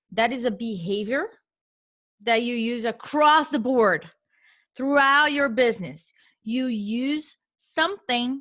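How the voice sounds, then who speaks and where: With a Portuguese accent, a woman speaks very slowly in a high pitch and a bright, sharp tone, using lively intonation and long, frequent pauses in a very clean recording with a silent background. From Brazil. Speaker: real estate investor. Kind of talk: interview. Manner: emphatic.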